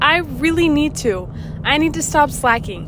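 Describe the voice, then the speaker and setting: Over noticeable background noise and audible room echo, a woman speaks fairly slowly with lively intonation. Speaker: podcast host sharing concussion recovery. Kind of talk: casual monologue. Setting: in a car, driving. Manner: hesitant, says um and stutters a little.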